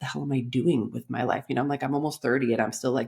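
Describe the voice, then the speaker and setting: Recorded very cleanly with a silent background, a woman speaks in an animated tone with a Californian accent. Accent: Californian American. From Los Angeles, US. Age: 40s. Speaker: life coach. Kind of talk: podcast interview.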